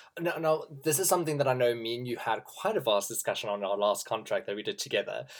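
This man talks at a very fast pace with hardly any pauses. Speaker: podcast host and performer. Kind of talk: casual interview chat.

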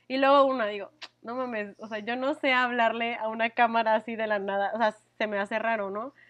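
A woman talks at a fairly quick pace with fairly even intonation and a fairly high pitch. She has a plain, everyday voice, heard over a quiet background. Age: 20s. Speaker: podcast co-host. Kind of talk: casual chat.

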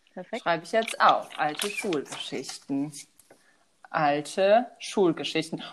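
Speaking very slowly, a woman uses a fairly low pitch with lively intonation. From Germany, Westerwald. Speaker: podcast co-host. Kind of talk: casual chat.

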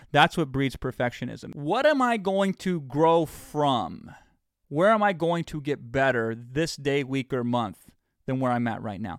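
In a normal speaking voice, the speaker uses lively intonation at a fairly slow pace. The recording is very clean, with a silent background. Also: man, fairly high pitch for a man. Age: 40s. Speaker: podcast host and business coach. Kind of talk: motivational monologue.

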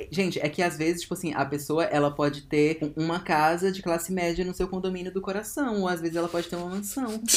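Over noticeable background noise, a high-pitched man rattles along at a very fast pace with hardly any pauses. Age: 20s. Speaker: actor and podcast co-host. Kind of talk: casual chat. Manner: animated.

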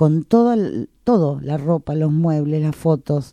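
A woman in a Rioplatense accent speaks at a very deep, low pitch with a dark, mellow tone, very wide pitch swings and a fairly slow pace, in a dry, close sound with no echo on a very clean recording with a silent background. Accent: Argentine Spanish (rioplatense). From Argentina, San Nicolás (Buenos Aires province). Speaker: stage actress. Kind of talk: interview, casual chat.

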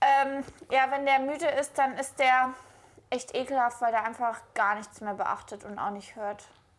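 A woman speaks at a fairly slow pace in a high voice. Her pitch varies in an ordinary way. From Cologne, Germany. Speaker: podcast co-host. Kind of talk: casual chat.

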